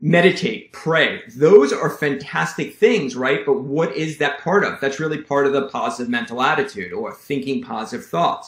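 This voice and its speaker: Lively intonation from a man at a fairly high pitch and moderate pace. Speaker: chiropractor. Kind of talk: health talk to camera. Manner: animated.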